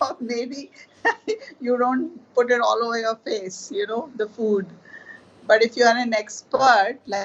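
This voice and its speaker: A woman with a normal speaking voice, fairly high-pitched for a woman, with fairly even intonation and a fairly slow pace. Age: 60s. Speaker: artist.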